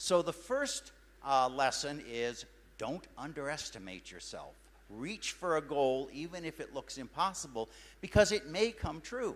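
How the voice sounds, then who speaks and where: On a very clean recording with a silent background, a man with an American accent speaks at a fairly slow pace, his pitch swinging very widely and his loudness rising and falling in big swings. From United States. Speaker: scientist and science fair director. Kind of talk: motivational talk.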